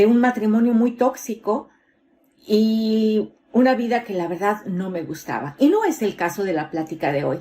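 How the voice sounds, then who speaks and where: There is a dark, mellow tone to this woman's voice as she speaks at a moderate pace on a very clean recording with a silent background. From Mexico City. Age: 50s. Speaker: motivational speaker. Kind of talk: motivational talk.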